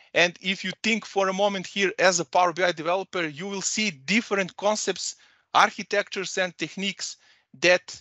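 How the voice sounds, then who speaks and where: A man's high voice with a Serbian accent, dry with no echo, against a quiet background. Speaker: data consultant and trainer; trainer. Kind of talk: presentation. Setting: video call. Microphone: headset.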